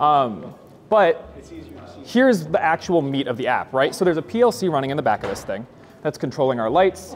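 This man has a fairly high voice with vocal fry and very wide pitch swings. Light background noise can be heard. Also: moderate pace. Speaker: engineer giving a product demo. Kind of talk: live product demo. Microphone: lapel.

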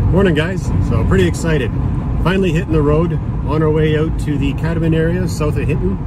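A man talks at a very fast pace. The sound is dry with no echo, but loud background noise runs underneath. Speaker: overlanding vlogger. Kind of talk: casual vlog chat. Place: car. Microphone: phone near.

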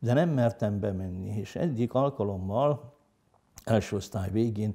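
With a dark, mellow tone and ordinary pitch variation, a man speaks at a fairly slow pace against a quiet background. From northern Hungary, Heves county; Hungary. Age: 60s. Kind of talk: interview testimony; interview answer. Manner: hesitant, with many fillers. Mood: calm, reflective. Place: home room. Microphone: lapel.

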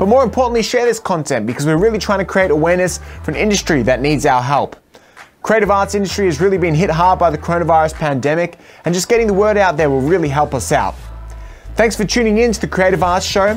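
Lively intonation and an Australian accent carry an upbeat, enthusiastic tone. The pace is very fast, with music in the background. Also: man. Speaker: show host. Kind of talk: talk show host outro. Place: studio. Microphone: studio mic.

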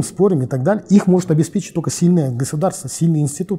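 Lively intonation carries a dark, mellow tone against a quiet background. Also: man. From Kazakhstan, Almaty. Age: 40s. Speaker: political analyst. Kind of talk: interview. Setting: studio. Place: studio.

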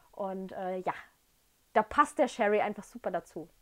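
The woman's pitch varies in an ordinary way as she talks at a moderate pace, with a quiet background behind her. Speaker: whisky tasting host. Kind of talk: casual vlog chat. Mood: enthusiastic, warm. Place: home room. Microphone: camera far.

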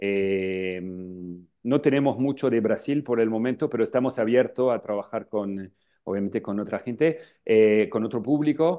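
With a French accent, a man at medium pitch talks at a moderate pace with ordinary pitch variation against a quiet background. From northern France, Lille; France. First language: French (speaking Spanish). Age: 40s. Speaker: travel agency founder. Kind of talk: interview. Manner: halting, many filler sounds. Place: office. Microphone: earbuds.

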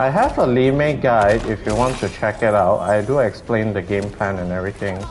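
Fairly quick speech with a Malaysian accent over noticeable background noise. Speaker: gaming streamer. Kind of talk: casual chat. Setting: online voice chat during live stream.

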